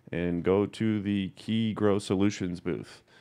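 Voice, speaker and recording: Against a quiet background, a man talks in an ordinary speaking voice. His pitch is fairly low, with ordinary pitch variation. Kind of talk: sales pitch.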